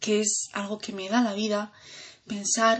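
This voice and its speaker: Speech comes at a fairly slow pace in a somewhat breathy voice. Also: woman. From Andalusia, Granada. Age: 20s. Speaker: student. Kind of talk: self-introduction podcast. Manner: hesitant with fillers.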